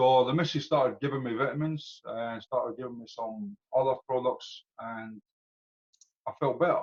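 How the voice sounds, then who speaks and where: Dry and close with no echo, the recording has a man with a Scottish accent speaking at a moderate pace with ordinary pitch variation. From Scotland. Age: 40s. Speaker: customer giving testimonial. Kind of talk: testimony. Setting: video call.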